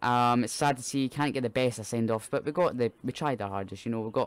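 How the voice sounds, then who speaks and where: A man with a Scottish accent talks at a fairly quick pace with ordinary pitch variation, in a dry sound with no echo. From Scotland. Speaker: football fan streamer. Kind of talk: live watch-along commentary. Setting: live stream. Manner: halting. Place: home room. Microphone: studio mic.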